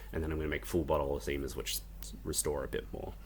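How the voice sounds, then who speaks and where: Very fast and marked by vocal fry, a man talks with an Australian accent. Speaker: indie game developer. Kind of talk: devlog tutorial. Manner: casual, frequent ums.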